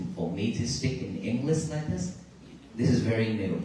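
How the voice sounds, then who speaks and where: Speaking with a Vietnamese accent, a man uses lively intonation, with noticeable background noise and audible room echo in the recording. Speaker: Buddhist monk giving a talk on a peace walk. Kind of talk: dharma talk to a crowd. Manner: halting.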